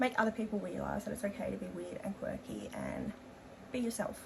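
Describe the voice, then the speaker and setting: Over noticeable background noise, a voice with an Australian accent moves along at a fairly quick speed. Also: woman. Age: 20s. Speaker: beauty vlogger. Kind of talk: casual chat. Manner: hesitant, many fillers.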